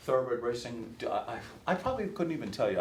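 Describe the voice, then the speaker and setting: Speaking at a fairly slow pace, a man sounds somewhat breathy, with lively intonation. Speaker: race caller, workshop instructor. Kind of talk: workshop lecture to an audience, casual and anecdotal.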